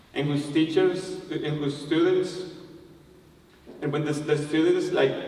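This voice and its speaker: Noticeable background noise sits behind a man with a Spanish accent whose fairly high pitch comes in a monotone, flat intonation. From Colombia. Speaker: language teacher. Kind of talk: TEDx talk.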